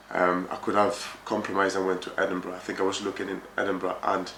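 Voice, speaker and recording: A man with a very deep, low pitch races along at a very fast pace amid noticeable background noise and audible room echo. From France. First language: French. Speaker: project manager in construction. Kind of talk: interview. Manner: hesitant, many fillers.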